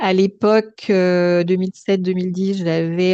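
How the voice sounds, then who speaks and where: A woman's medium-pitched voice, very slow and monotone, with flat intonation. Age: 60s. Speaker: stroke survivor sharing her story. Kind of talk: testimony. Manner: hesitant, many filler sounds.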